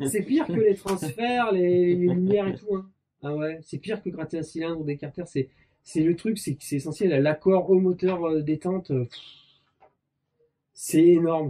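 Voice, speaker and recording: A man with a high-pitched voice speaks, his loudness swinging widely. He leaves long, frequent pauses. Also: ordinary pitch variation, moderate pace. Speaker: motorcycle mechanics YouTuber. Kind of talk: casual chat. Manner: animated.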